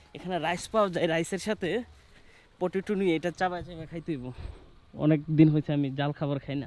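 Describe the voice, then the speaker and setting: With fairly even intonation, a man talks in a fairly high register. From Bangladesh, Kishoreganj (Bhairab). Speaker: travel vlogger. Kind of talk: casual travel vlog narration. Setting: outdoors in a village.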